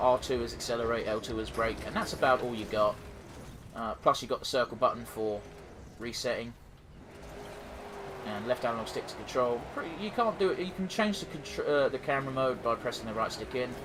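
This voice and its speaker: Speaking at a fairly quick pace with a southeast English accent, a man holds a medium pitch against noticeable background noise. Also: ordinary pitch variation. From southeast England. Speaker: gaming YouTuber. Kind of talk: let's play commentary. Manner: casual, halting with fillers.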